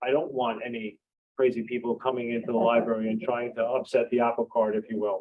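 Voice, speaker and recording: At a fairly quick pace, a man talks in an unremarkable speaking voice at a medium pitch. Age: 60s. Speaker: library board candidate, retired professor. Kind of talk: candidates forum answers. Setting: public forum at library with audience.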